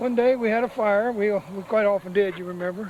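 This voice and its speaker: Noticeable background noise sits behind a man with a high pitch. His intonation stays fairly even. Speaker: former resident. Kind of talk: reminiscence.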